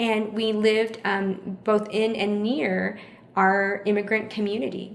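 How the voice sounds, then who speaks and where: A woman with an American accent speaks at a medium pitch, her intonation fairly even, with audible room echo around her. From Houston, Texas. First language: Vietnamese. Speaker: chef and catering business owner. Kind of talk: interview conversation.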